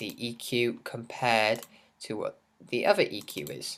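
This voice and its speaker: An English accent on a very clean recording with a silent background. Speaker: music producer, tutorial channel host. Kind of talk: tutorial. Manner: casual, hesitant with many fillers.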